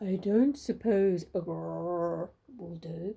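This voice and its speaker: A woman puts on a character voice at a medium pitch, speaking at a fairly slow pace. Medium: read story.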